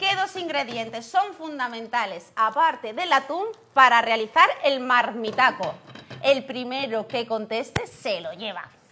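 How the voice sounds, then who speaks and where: A woman at a high pitch with very wide pitch swings, big swings in loudness and a fairly slow pace over light background noise. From Spain, Jaén (Andalusia); Andalusia, Spain. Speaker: cooking show co-host. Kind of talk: live cooking show chat. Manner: animated. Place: studio.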